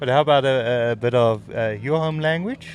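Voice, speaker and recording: A man's voice with an Afrikaans accent and ordinary pitch variation. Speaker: sports commentator. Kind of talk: live commentary. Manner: halting.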